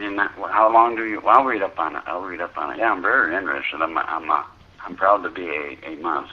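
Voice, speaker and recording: A man's very deep, low voice with an American accent, a very fast pace, ordinary pitch variation, big swings in loudness and noticeable background noise. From United States. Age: 70s. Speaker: retired builder. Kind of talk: phone conversation. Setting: phone line.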